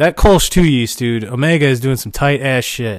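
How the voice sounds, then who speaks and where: The recording is very clean, and its background is silent. Speaking is a man whose pitch is medium. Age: 30s. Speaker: podcast host, homebrewer. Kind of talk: casual monologue. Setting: garage. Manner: casual, profane.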